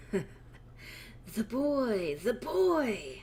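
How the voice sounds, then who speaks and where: A female-sounding voice performs a put-on character voice. Clear background noise and hissing run underneath. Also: medium pitch for a woman. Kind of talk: archaic, formal. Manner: hissing, menacing.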